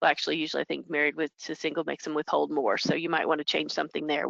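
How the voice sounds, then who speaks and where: A woman speaks with a very deep, low pitch and vocal fry. Her intonation is fairly even. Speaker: payroll software consultant. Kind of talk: webinar presentation. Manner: fast.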